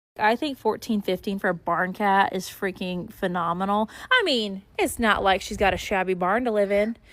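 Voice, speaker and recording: In a very clean recording with a silent background, a woman with an ordinary speaking voice talks at a moderate pace and medium pitch, her intonation fairly even and with hardly any pauses. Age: 20s. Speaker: farm vlogger. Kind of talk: casual vlog.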